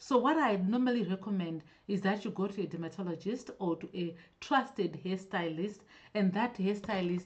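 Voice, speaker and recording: This is a woman's voice at a medium pitch. It sounds somewhat breathy. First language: not English. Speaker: natural hair vlogger. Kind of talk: live-stream Q&A. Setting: live stream. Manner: halting, self-correcting.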